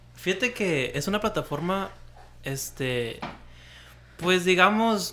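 A man speaks at a high pitch in a bright, sharp tone with lively intonation. His voice is raised and projected, and his pace is very slow. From Mexicali, Baja California, Mexico. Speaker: podcast co-host. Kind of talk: casual chat.

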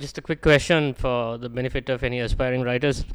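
At a fairly quick pace, a man uses an ordinary speaking voice with a medium pitch and ordinary pitch variation. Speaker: podcast co-host. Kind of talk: podcast interview.

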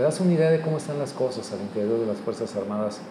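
A man speaks with ordinary pitch variation. Noticeable background noise and audible room echo fill the recording. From Mexico. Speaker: podcast host. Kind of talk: casual chat.

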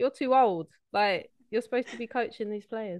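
A woman with a South East London accent, ordinary pitch variation and a fairly quick pace, over a quiet background. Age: 30s. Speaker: football coach and scout. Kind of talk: casual chat.

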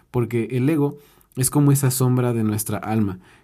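On a very clean recording with a silent background, a man with a Mexican accent speaks in a dark, mellow tone. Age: 20s. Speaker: podcaster and life coach. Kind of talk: motivational monologue. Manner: casual.

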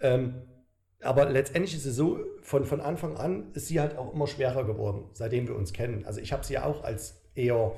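The tone is dark and mellow, with vocal fry and ordinary pitch movement. The pace is fairly quick, and room echo is audible. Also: man, medium pitch for a man. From Saxony, Germany. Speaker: bodybuilder. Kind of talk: casual chat.

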